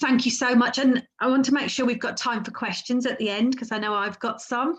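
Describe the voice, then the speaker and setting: A woman talks at a moderate pace in a somewhat breathy voice. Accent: English Midlands. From English Midlands. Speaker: webinar host. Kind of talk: webinar moderation. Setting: online webinar.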